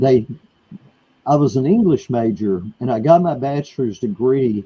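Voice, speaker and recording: A man's dark, mellow voice with a Texan accent, fairly high in pitch and at a fairly slow pace. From Texas, USA. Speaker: author and artist. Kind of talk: interview answer.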